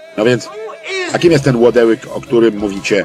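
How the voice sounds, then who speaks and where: With music in the background, a man of medium pitch and ordinary pitch variation talks at a moderate pace, the sound dry with no echo. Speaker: film voice-over lector. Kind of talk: film voice-over translation reading. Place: booth. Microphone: studio mic.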